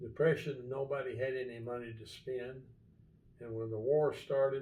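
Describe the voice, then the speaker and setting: Somewhat breathy, a man with an American accent and a dark, mellow tone speaks in monotone, flat intonation with big swings in loudness and audible room echo. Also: medium pitch for a man, moderate pace. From Kentucky, Albany area. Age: 80s+. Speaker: marina business owner. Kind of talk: casual interview.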